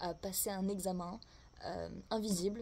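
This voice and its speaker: A woman speaks with a dark, mellow tone at medium pitch, somewhat breathy. Her intonation stays fairly even. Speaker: tarot and oracle card reader. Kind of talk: oracle card reading for viewers. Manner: casual, hesitant with fillers.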